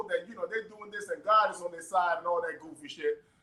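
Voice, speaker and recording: Very fast, a man talks in an American accent. His pitch varies in an ordinary way. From US, parents from Panama. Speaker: father in family court dispute, personal trainer. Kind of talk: casual interview chat. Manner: halting, many restarts.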